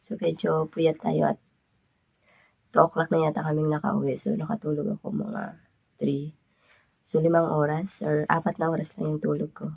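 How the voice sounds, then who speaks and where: Vocal fry from a woman at a moderate pace, with ordinary pitch variation and long, frequent pauses. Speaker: vlogger. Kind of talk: casual vlog, gift unboxing.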